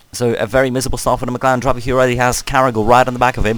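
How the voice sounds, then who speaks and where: At a very fast pace, a man with a medium pitch speaks over noticeable background noise. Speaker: sim racing league commentator. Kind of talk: live commentary. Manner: animated.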